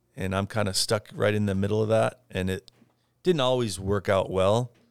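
On a very clean recording with a silent background, a man with an American accent talks fairly slowly at a fairly low pitch in a normal speaking voice. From US, rural southwest Idaho (Parma). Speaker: furniture importer and business owner. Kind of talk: interview.

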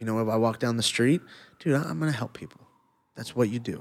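Recorded very cleanly with a silent background, a man with an American accent speaks at a fairly low pitch with ordinary pitch variation. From Los Angeles, US. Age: 30s. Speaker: former MMA fighter. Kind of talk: casual chat.

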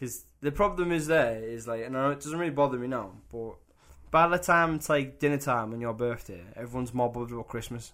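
A man talks in a normal speaking voice at a medium pitch. He goes at a fairly quick pace with ordinary pitch variation. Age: 20s. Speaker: podcast co-host. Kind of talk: casual chat. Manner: laid-back, joking.

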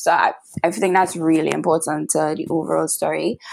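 She talks with a Trinidadian accent and vocal fry. This woman's pitch sits fairly low. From Trinidad and Tobago. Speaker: podcast host. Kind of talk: casual interview.

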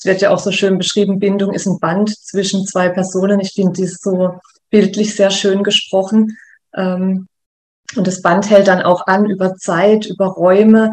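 A woman speaks at a medium pitch. Her pace is fairly slow and her intonation monotone and flat. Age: 30s. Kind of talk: interview. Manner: hesitant fillers.

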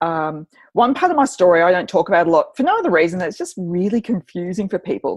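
In an Australian accent, a woman with a medium pitch talks at a very fast pace with ordinary pitch variation. The sound is dry and close with no echo, over a quiet background. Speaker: journalist and author. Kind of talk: interview guest. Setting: remote recording. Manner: animated.

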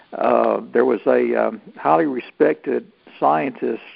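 The speaker is a man. He talks with a Southern US accent. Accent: Southern US (Georgia). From US South, North Georgia. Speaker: Santa Claus performer and actor. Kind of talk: interview.

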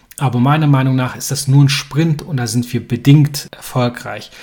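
The man's voice is somewhat breathy and medium in pitch. His intonation stays fairly even. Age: 30s. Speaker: podcast host. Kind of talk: podcast monologue.

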